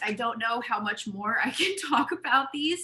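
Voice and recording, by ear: A hoarse, put-on character voice moves at a moderate pace with lively intonation. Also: woman, high pitch for a woman.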